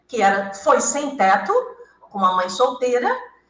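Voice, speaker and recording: A woman's high-pitched voice with very wide pitch swings, plus audible room echo. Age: 70s. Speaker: author and hypnotherapist. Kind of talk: interview. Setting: radio studio with cameras.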